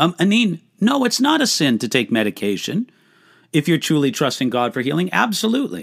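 A man with a fairly high pitch and vocal fry makes very wide pitch swings. The sound is dry and close with no echo, on a very clean recording with a silent background. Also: fairly quick pace. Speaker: pastor and Bible teacher. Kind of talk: live Q&A answering viewer questions. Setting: livestream. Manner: conversational with many fillers.

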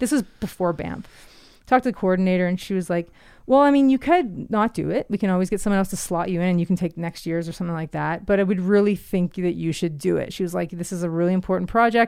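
A woman with a slight Canadian accent at a medium pitch and a very fast pace, with ordinary pitch variation, on a very clean recording with a silent background. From Ontario, Canada. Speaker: artist and mountain biker. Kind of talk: casual chat. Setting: studio.

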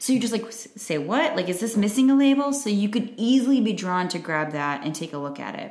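A woman with an American accent, fairly high-pitched and fairly quick, with very wide pitch swings and noticeable background noise. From Chicago area, US Midwest. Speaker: podcast co-host. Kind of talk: casual chat.

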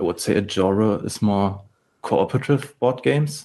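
A man speaks with a German accent. His pitch is fairly low. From Germany. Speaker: game studio head and programmer. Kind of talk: interview.

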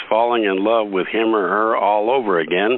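Over noticeable background noise, a man talks at a fairly slow pace with a fairly low pitch and fairly even intonation. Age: 50s. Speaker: podcast host. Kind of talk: interview.

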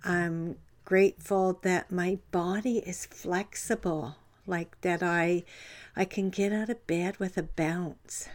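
At a very slow pace, a woman with a Canadian accent talks in a medium pitch with fairly even intonation. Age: 70s. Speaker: life coach and podcast host. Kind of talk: motivational talk. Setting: livestream from home. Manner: halting.

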